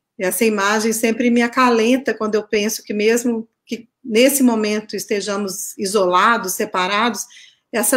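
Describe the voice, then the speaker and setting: A woman with a Minas Gerais accent talks at a fairly slow pace in a fairly high pitch. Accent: Minas Gerais (mineiro). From Minas Gerais, Brazil. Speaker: researcher, artist and author. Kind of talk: interview.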